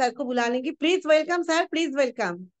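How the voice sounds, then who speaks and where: High in pitch with ordinary pitch variation, a woman talks in a dry, close sound with no echo. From Bengal, India. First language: Bengali (speaking Hindi). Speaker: event anchor and trainer. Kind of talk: event hosting.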